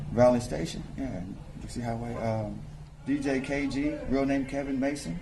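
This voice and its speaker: A man at medium pitch speaks at a moderate pace with ordinary pitch variation, with audible room echo and noticeable background noise. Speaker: rapper and promoter. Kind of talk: interview. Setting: nightclub lounge.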